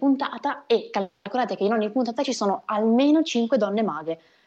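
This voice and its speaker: A woman with a dark, mellow tone, lively intonation and a fairly quick pace. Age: 20s. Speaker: magician. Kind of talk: interview.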